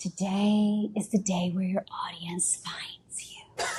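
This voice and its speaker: In a put-on character voice, a female-sounding speaker delivers lines fairly slowly at a medium pitch. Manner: smooth, announcer-like.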